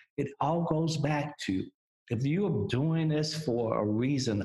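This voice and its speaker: A man speaks at a very slow pace with ordinary pitch variation. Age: 60s. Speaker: music industry executive. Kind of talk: interview.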